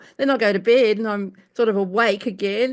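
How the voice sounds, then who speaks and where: A woman with an Australian accent speaks at a fairly high pitch with ordinary pitch variation on a very clean recording with a silent background. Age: 70s. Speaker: cancer patient in support group. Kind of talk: casual sharing. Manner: halting.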